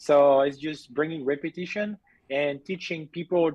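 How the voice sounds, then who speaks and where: With a strong French accent, a man speaks at a moderate pace and a fairly high pitch, using ordinary pitch variation. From southern France. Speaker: BMX racing coach. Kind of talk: casual interview. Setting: video call. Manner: halting.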